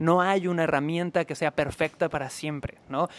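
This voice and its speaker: The man's pitch is high and his pace moderate. The sound is dry and close, with no echo. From Mexico, Cancún. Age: 30s. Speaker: sales trainer. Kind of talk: interview.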